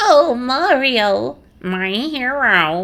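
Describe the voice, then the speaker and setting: A woman puts on a squeaky character voice. Her pitch is high. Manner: annoying.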